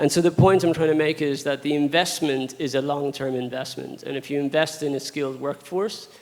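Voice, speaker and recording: Noticeable background noise sits behind a man whose fairly high voice keeps a fairly even intonation. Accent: Irish. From Ireland. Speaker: audience member. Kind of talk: audience question.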